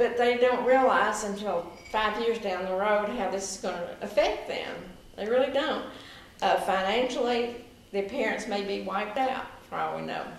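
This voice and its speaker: With a strong Southern US accent, a woman speaks at a fairly high pitch with ordinary pitch variation, amid noticeable background noise and audible room echo. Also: moderate pace. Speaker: political campaign volunteer. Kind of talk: oral history interview.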